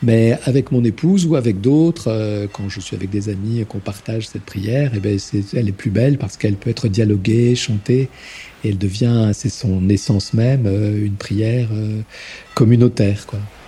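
A man's fairly low voice moves along at a moderate pace. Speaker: deacon. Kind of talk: testimony. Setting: at home in his Paris flat. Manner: voluble; halting, repeats words.

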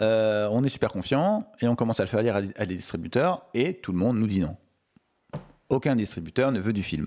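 This man has a normal speaking voice at medium pitch. He talks at a fairly quick pace with lively intonation. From Paris suburbs, France. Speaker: film director. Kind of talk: interview.

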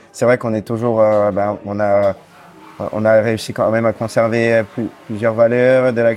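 Against noticeable background noise, a man speaks fairly slowly in a medium pitch with a monotone, flat intonation. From Corsica (Bastia). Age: 30s. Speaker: singer-songwriter. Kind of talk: interview. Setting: café. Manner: hesitant, many fillers.

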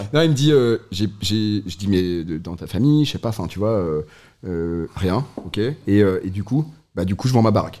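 Over a silent background in a very clean recording, a man with a fairly low pitch and a dark, mellow tone speaks fairly slowly with lively intonation. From northern France, Lille. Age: 30s. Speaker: brewery co-founder. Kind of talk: casual chat.

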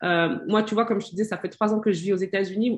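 The woman's voice sits at a medium pitch and sounds somewhat breathy. Her intonation is fairly even over a quiet background. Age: 40s. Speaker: self-care coach. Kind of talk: casual chat. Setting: live stream.

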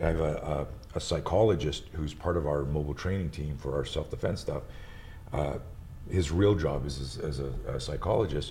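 A man's very deep, low voice with ordinary pitch variation and audible room echo. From Montreal, Quebec. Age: 60s. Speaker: martial arts instructor and entrepreneur. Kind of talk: casual chat.

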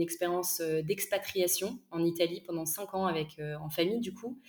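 This is a woman speaking. Her pitch is fairly low. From northern France, Lille. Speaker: entrepreneur, micro-nursery co-founder. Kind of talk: interview. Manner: hesitant, many fillers.

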